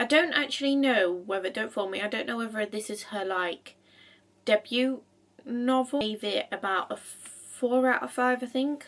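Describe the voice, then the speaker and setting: Using a normal speaking voice, a woman with a fairly high pitch and ordinary pitch variation talks at a moderate pace. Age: 20s. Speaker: book reviewer. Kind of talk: casual talk to camera.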